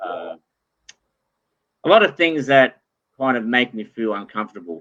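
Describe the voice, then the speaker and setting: A man with an Australian accent at a moderate pace, with ordinary pitch variation. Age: 50s. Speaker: entrepreneur. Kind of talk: interview.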